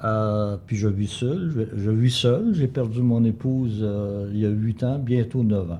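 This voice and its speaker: A man's medium-pitched, dark, mellow voice at a very slow pace with hardly any pauses. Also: ordinary pitch variation. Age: 80s+. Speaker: local historian. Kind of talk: life story interview. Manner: hesitant, some repetitions.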